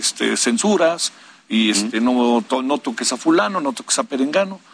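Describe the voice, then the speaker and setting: The voice moves at a moderate pace with very wide swings in pitch. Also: man. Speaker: journalist and broadcaster. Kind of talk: panel discussion.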